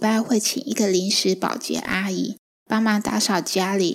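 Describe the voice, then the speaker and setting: Over a silent background in a very clean recording, a woman at medium pitch talks at a fairly slow pace with vocal fry. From Taiwan, Chiayi. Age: 40s. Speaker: podcast host and writer, stay-at-home mother. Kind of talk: book-sharing podcast monologue.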